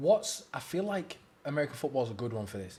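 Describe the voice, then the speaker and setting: In an English accent, a man speaks at a fairly quick pace and fairly high pitch, with very wide pitch swings and a dark, mellow, somewhat breathy tone. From England. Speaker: podcast host. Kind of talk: casual chat.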